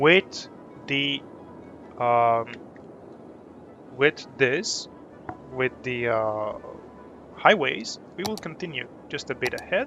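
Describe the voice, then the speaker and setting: With music playing behind him, a man of medium pitch speaks at a very slow pace, his intonation lively and his pauses long and frequent. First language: not English. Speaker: gaming streamer. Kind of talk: live gameplay commentary. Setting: live stream.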